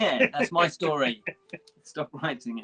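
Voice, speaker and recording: A man's fairly high voice with lively intonation over music in the background. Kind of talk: casual live stream chat. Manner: mumbly.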